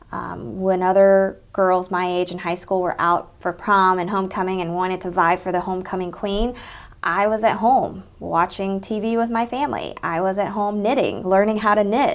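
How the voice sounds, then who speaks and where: With a Southern US accent, a woman at medium pitch talks in fairly even intonation, hardly pausing at all. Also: moderate pace, very clean recording, silent background. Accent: Southern twang. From Texas. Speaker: interviewee, Vietnamese American professional. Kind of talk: oral history interview. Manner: conversational, frequent fillers.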